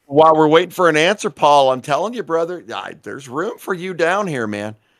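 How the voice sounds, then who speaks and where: Over a silent background in a very clean recording, a man with an unremarkable speaking voice and a fairly high pitch talks at a fairly quick pace, with lively intonation and big swings in loudness. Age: 50s. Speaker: podcast co-host and gamer. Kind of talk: casual live-stream chat.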